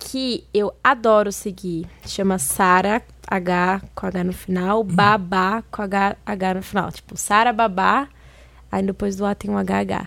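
Speaking at a very slow pace with fairly even intonation, a woman is heard on a very clean recording with a silent background. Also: medium pitch for a woman. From Minas Gerais, Brazil. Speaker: Instagram influencer. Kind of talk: casual chat.

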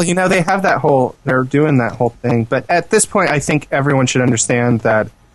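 What comes across is an unforced reading voice.

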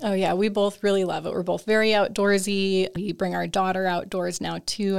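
A woman with a normal speaking voice at medium pitch, fairly even intonation and a fairly quick pace, on a very clean recording with a silent background. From Minnesota. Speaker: wildlife biologist. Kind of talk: interview.

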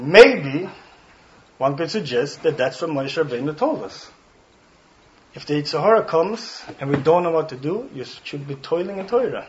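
With a Swedish accent, a man talks with lively intonation, big swings in loudness, and long, frequent pauses over noticeable background noise. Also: fairly high pitch for a man, moderate pace. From Sweden, Stockholm. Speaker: rabbi. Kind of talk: guest talk to students. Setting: speaking in front of a student audience. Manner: warm, occasionally searching for words.

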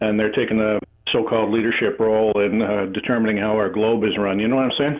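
A man speaks very fast in a Canadian accent, his pitch fairly low. His intonation stays flat and monotone. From Canada. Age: 70s. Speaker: caller. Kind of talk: casual chat. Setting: phone call.

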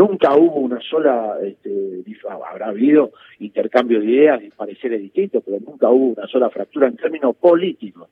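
A man speaks at a fairly quick pace in a plain, everyday voice, with medium pitch and lively intonation. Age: 60s. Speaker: political analyst and sociologist. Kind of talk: interview.

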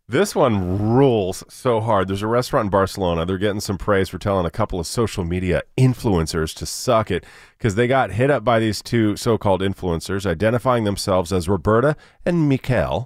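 Here a man has a plain, everyday voice, fairly low in pitch and fairly quick in pace. The recording is very clean, with a silent background. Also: ordinary pitch variation. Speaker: news reader, radio co-host. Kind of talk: news headline reading.

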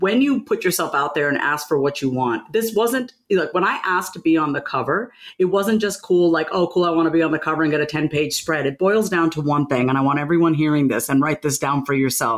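A woman's fairly low voice with lively intonation, hardly any pauses, very even loudness, and noticeable background noise. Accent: New York. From New York, Long Island. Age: 40s. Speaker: author and confidence speaker. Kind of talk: interview conversation. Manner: animated.

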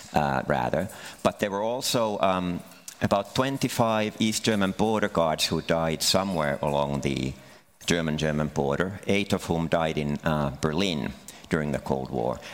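Over noticeable background noise, a man with a very deep, low pitch talks at a moderate pace with lively intonation. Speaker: historian and author. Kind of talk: panel discussion.

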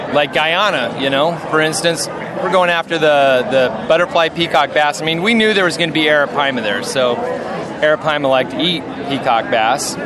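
Moderate-paced speech with lively intonation and hardly any pauses, over noticeable background noise. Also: man, fairly high pitch for a man. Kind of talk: casual chat.

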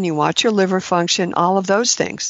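A woman's normal speaking voice with ordinary pitch variation. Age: 60s. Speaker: clinician specializing in ketogenic diets. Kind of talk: interview. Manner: laughs often.

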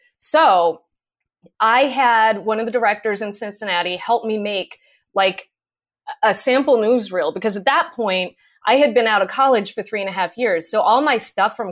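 Lively intonation in an American accent at a moderate pace, on a very clean recording with a silent background. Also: woman. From Connecticut (Manchester, near Hartford). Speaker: TV news reporter. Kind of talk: casual interview.

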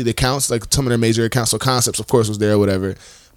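A man talks with an American accent. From US South, Florida (Tallahassee). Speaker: podcast co-host. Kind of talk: casual chat. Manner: animated.

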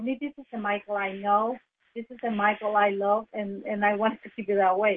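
Talking fairly quickly in a monotone, flat intonation, a woman with a medium pitch shows big swings in loudness. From Brazil. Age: middle-aged. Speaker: entrepreneur. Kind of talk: radio interview. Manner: halting.

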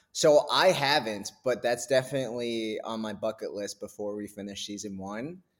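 This man has an unremarkable speaking voice with an American accent. His medium pitch shows ordinary variation, and there are hardly any pauses. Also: moderate pace. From New Hampshire, US. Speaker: actor. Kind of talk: casual interview.

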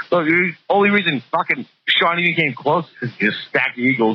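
A man speaks at a moderate pace with a bright, sharp tone and vocal fry. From Boston area, Massachusetts. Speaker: caller. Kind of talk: casual chat. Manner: loud.

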